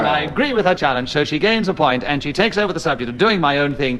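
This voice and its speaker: Against noticeable background noise, a man with a fairly high pitch speaks at a fairly quick pace with lively intonation. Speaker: radio panel game chairman. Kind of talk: radio panel show hosting.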